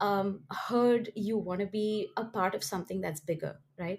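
With a somewhat breathy voice, a woman talks at a fairly slow tempo. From India. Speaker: motorsport team founder. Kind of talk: interview.

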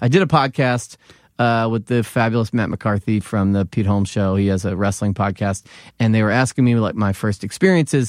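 Fairly low-pitched male voice with an American accent, fairly quick pace and ordinary pitch variation, in a dry, close sound with no echo and a very clean recording with a silent background. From Philadelphia, US. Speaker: comedian and former wrestling TV writer. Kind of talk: casual chat.

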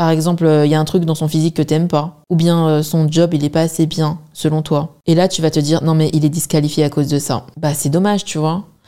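In a dark, mellow tone, a woman speaks fairly quickly. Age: 20s. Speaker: podcast host. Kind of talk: casual chat. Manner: animated.

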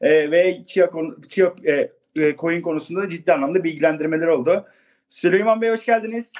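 Pausing long and often, a man speaks at a moderate pace in a high pitch with ordinary pitch variation. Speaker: podcast host. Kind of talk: casual chat. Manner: hesitant, many fillers.

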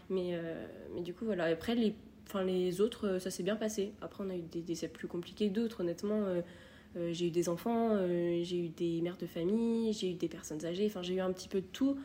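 Her tone is dark and mellow. This woman speaks at a medium pitch and a moderate pace, with ordinary pitch variation. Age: 20s. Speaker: nursing assistant and nursing student. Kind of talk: casual interview.

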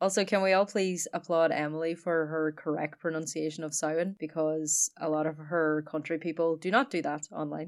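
In an Irish accent, a woman with a very deep, low pitch talks at a moderate pace with hardly any pauses, on a very clean recording with a silent background. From Ireland. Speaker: podcast co-host. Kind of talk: casual chat. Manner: animated.

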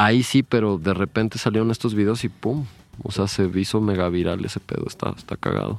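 With an ordinary speaking voice, a man talks at a fairly quick pace, his fairly low pitch carrying fairly even intonation. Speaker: visual artist. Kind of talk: casual chat.

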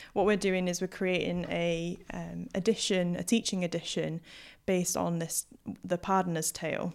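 Monotone, flat intonation on a very clean recording with a silent background. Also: woman, fairly low pitch for a woman, moderate pace. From Hull, East Yorkshire. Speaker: historical linguist, PhD student. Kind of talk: casual interview chat. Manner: hesitant, many filler words.

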